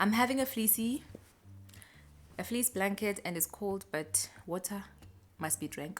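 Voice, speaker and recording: A woman with a South African accent, somewhat breathy and medium in pitch, at a fairly slow pace with ordinary pitch variation and long, frequent pauses, in a very clean recording with a silent background. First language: Xhosa. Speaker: lifestyle vlogger. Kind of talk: casual vlog chat. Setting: at home. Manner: chatty, conversational.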